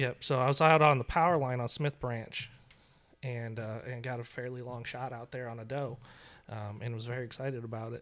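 A man with a medium-pitched, ordinary speaking voice talks at a fairly quick pace, his loudness swinging widely. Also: fairly even intonation. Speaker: knife making instructor. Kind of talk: casual chat. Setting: studio.

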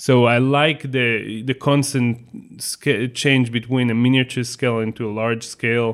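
With an Israeli accent, a man speaks in a flat monotone at a medium pitch, going at a fairly slow pace with hardly any pauses. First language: Hebrew. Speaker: photographer and magazine co-founder. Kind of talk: interview conversation.

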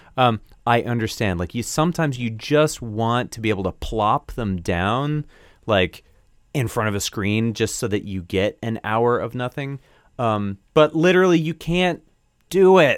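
A man with a normal speaking voice, medium pitch, lively intonation and a moderate pace, on a very clean recording with a silent background. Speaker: podcast co-host and audio engineer. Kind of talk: casual chat.

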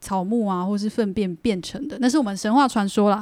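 With fairly even intonation and a medium pitch, a woman talks in a dark, mellow tone. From Taiwan, Taichung area, Bunun family. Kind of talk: casual interview chat.

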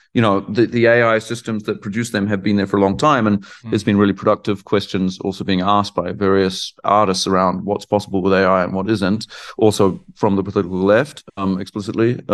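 Fairly quick speech in a New Zealand accent with fairly even intonation, against a quiet background. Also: man, fairly low pitch for a man. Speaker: artist and art professor. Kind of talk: interview conversation. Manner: hesitant, many fillers and repetitions.

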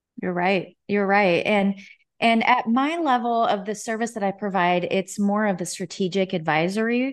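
Speaking with an American accent at a moderate pace, a woman uses a medium pitch and ordinary pitch variation. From US Midwest, Nebraska. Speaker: fractional marketing executive. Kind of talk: interview.

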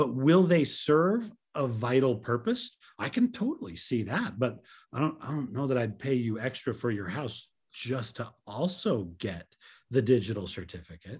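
Recorded very cleanly against a silent background, a man with a medium-pitched, somewhat breathy voice speaks at a moderate pace with lively intonation. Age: 50s. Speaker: tech podcast co-host. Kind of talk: casual chat.

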